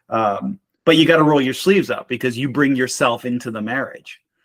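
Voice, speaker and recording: With a slight Boston accent, a man speaks at medium pitch in a dry, close sound with no echo, on a very clean recording with a silent background. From Boston, Massachusetts. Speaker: marriage mentor and military veteran. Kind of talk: casual interview conversation.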